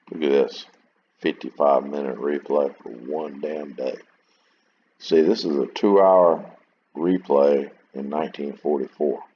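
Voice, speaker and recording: A man speaks with a very deep, low pitch and fairly even intonation. He leaves long, frequent pauses. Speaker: wargame video creator. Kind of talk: gameplay commentary. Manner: casual, halting.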